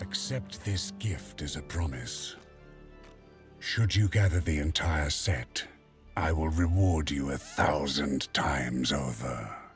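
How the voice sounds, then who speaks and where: Over clear background music, a man does a put-on character voice, very deep and low, at a fairly slow pace. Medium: video game. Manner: solemn, deliberate.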